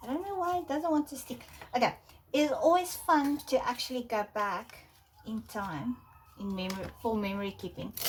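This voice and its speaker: A woman with a South African accent and lively intonation over noticeable background noise. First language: Afrikaans. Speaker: art journaling creator. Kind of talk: casual tutorial. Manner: hesitant, many fillers.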